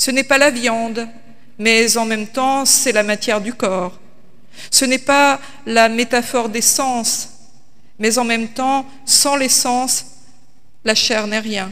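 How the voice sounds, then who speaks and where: A woman at a very slow pace, with long, frequent pauses and fairly even intonation. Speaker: pastor. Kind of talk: sermon. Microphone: podium.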